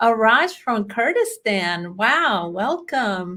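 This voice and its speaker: A woman with a fairly high voice speaks at a very slow pace. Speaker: bookkeeping trainer. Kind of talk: webinar presentation. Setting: online webinar.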